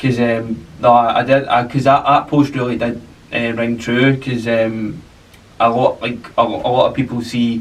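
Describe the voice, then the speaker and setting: Against noticeable background noise, a man with a Glasgow accent speaks with fairly even intonation. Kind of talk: podcast conversation. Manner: casual, hesitant.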